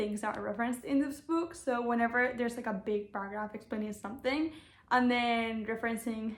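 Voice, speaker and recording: A woman talks at a fairly quick pace with a non-native accent. Her pitch is fairly high, with ordinary variation. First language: not English. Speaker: booktuber. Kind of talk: casual vlog chat.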